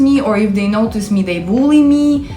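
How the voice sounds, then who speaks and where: Over music in the background and with audible room echo, a woman speaks at a moderate pace in a fairly high voice with lively intonation. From Ukraine. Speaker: YouTuber. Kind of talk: casual storytelling vlog. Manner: animated.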